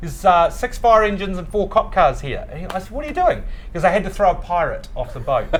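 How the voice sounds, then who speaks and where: Very fast speech from a man, with big swings in loudness and noticeable background noise. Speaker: bar founder and CEO. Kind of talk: casual chat. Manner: fast, loud; animated.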